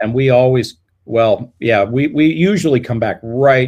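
A man with a General American accent speaks in an ordinary speaking voice at medium pitch. His pace is fairly slow, with ordinary pitch variation. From Colorado. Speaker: music education professor. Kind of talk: casual interview.

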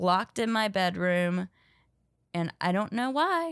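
With a Southern accent, a woman is heard in a dry, close sound with no echo. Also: very clean recording, silent background. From US South, North Carolina. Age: 30s. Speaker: comedian. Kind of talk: casual interview.

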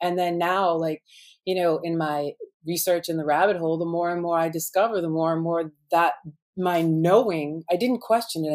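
A woman has an unremarkable speaking voice with a fairly low pitch. She talks at a moderate pace. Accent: American. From Boston, US. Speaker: guest describing her illness. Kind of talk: interview testimony.

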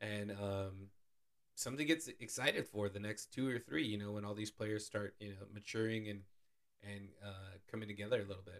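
An unremarkable speaking voice proceeds at a moderate pace with fairly even intonation. Its loudness swings widely. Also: man, fairly low pitch for a man. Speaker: sports podcast co-host. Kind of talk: casual chat.

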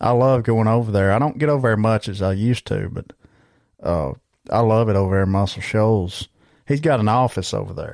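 A man with a Southern US accent at a fairly quick pace, medium pitch and ordinary pitch variation, against a quiet background. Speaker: podcast host and musician. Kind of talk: casual chat. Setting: video call.

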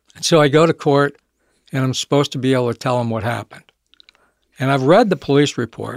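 An unremarkable speaking voice from a man with an American accent, fairly high-pitched, ordinary pitch variation, and a dry, close sound with no echo. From Michigan, US. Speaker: recovering alcoholic, business owner. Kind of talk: interview testimony.

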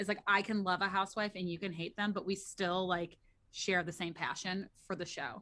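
Her bright, sharp tone carries an American accent as this woman speaks at a moderate pace with fairly even intonation. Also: medium pitch for a woman. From US Midwest, St. Louis, Missouri. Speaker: podcaster and mother. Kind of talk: casual chat.

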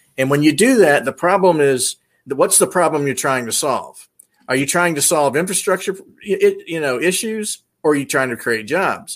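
A man talks at a moderate pace with a Tennessee accent. His fairly high voice has lively intonation. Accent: Tennessee Southern. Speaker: military veteran. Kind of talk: casual chat.

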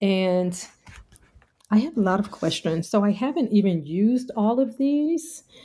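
A woman with an American accent speaks at a fairly high pitch in a dark, mellow, somewhat breathy tone, with very wide pitch swings and very even loudness. Her pace is fairly slow, with long, frequent pauses. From US, North Carolina. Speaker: political scientist and author. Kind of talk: interview. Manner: hesitant with many fillers.

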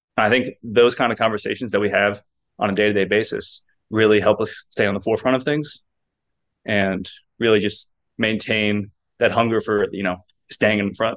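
At a moderate pace, a man with a fairly low pitch speaks in a monotone, flat way, leaving long, frequent pauses. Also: quiet background. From Kentucky. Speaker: player branding staffer. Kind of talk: casual interview chat.

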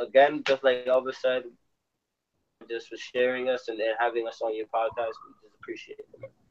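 Recorded in a dry, close sound with no echo, a man talks with an American accent. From New York City. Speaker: baseball instructor and brand co-founder. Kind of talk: casual interview.

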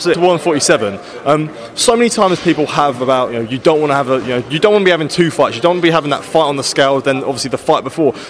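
A man talks very fast at a fairly high pitch with lively intonation. Noticeable background noise runs behind him. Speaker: boxing interviewer. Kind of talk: interview. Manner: halting.

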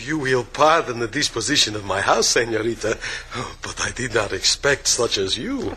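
A man puts on a raspy character voice of medium pitch at a moderate pace. Light background noise can be heard. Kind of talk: 1940s radio acting. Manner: humble, shy, smitten.

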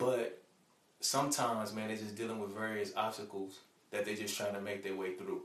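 With an American accent, a man speaks at a fairly quick pace and fairly low pitch in a monotone, flat intonation, with audible room echo and noticeable background noise. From Chicago South Side, US. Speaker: mentor and father. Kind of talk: interview.

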